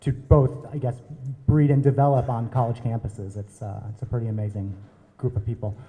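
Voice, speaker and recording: This man with an American accent has a dark, mellow tone that is somewhat breathy, with ordinary pitch variation. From US Midwest, Minnesota. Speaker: drug policy advocate. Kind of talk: panel introduction.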